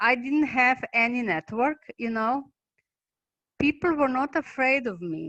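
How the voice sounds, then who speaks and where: A woman speaks in a Slovenian accent at a fairly slow pace. Her intonation is lively. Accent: non-native English, Slovenian. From Slovenia, Maribor. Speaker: basic income activist and researcher. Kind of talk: online talk presentation. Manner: halting.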